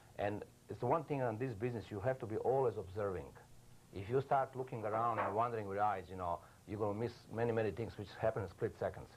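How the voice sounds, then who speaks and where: A man's somewhat breathy, medium-pitched voice at a very fast pace with ordinary pitch variation. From Yugoslavia. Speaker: news photographer. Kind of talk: TV interview. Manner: halting, many fillers.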